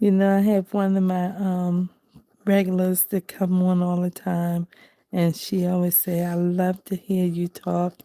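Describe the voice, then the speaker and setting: A woman with a medium pitch and a dark, mellow tone talks at a very slow pace. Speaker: crafting livestreamer. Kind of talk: casual livestream chat while coloring. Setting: home, at night. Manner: soft-spoken.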